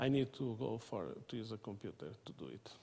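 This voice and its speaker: With a Portuguese accent, a man speaks at a moderate pace in a dark, mellow tone touched by vocal fry. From Portugal. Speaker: mathematics professor. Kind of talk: lecture. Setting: seminar room with audience. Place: meeting room.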